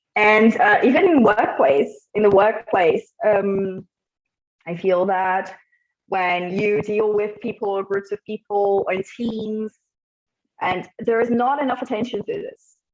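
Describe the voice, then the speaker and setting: Her pitch fairly high with ordinary pitch variation, a woman with an ordinary speaking voice talks at a fairly slow pace. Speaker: psychologist and gestalt therapist. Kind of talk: talk to an online group.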